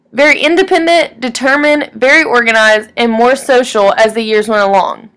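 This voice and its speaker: Talking at a fairly quick pace with a Texan accent, a woman has a bright, sharp tone, a fairly high pitch and ordinary pitch variation. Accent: Texan Southern US. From East Texas (Woodville). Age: 20s. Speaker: student. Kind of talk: reading aloud. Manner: formal.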